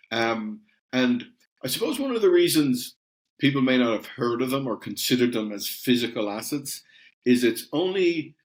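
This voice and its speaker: A man speaks with an Irish accent and ordinary pitch variation. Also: medium pitch for a man, moderate pace. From Ireland. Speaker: company CEO. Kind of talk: podcast interview. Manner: hesitant, many repeated words.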